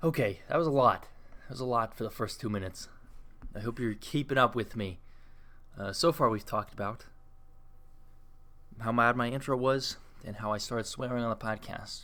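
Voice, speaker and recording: A man's bright, sharp voice at medium pitch, fairly quick but with long, frequent pauses and ordinary pitch variation. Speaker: podcast host. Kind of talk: casual solo podcast monologue. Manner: fast; rambling, conversational.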